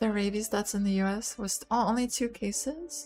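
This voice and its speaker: A soft-spoken woman with a fairly high pitch talks at a very slow pace over music in the background. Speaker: VTuber streamer. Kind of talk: casual talk to camera.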